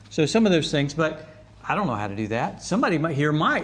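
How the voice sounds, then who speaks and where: Fairly quick speech from a man with a fairly high pitch, in audible room echo. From Leesburg, Florida. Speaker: club organizer. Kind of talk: meeting address. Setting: community club meeting with microphone. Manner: casual, hesitant.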